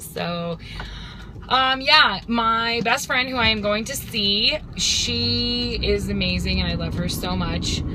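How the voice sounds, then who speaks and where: A woman speaks at a very slow pace, with audible room echo. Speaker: video blogger. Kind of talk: casual vlog. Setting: in a car. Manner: loud.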